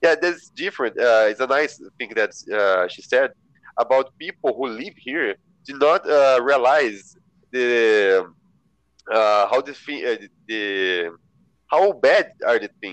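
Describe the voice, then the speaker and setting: A man with a Portuguese accent speaks very slowly in a medium pitch, with lively intonation and big swings in loudness. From São José dos Campos, Brazil. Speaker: volunteer. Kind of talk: casual chat; reading aloud. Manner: halting.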